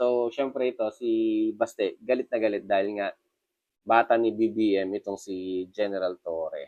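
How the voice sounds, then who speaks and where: A man with a medium pitch and ordinary pitch variation talks fairly slowly. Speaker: news commentary vlogger. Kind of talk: casual news commentary vlog. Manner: hesitant, many fillers.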